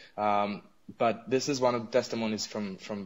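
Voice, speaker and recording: With an Arabic accent, a man speaks at a moderate pace in a fairly low pitch and fairly even intonation. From Israel. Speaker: advocacy group representative. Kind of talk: radio interview. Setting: radio interview. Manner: halting, many fillers.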